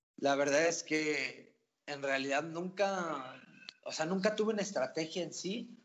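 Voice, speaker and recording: This man's voice sits high in pitch with ordinary pitch variation. He speaks at a very slow pace. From Mexico, Querétaro. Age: 20s. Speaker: esports team owner. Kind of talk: casual interview chat.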